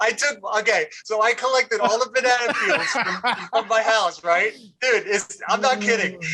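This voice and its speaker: A man's raised, projected voice, high in pitch. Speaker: former classmate, podcast guest. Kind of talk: casual chat. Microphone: PC built-in mic.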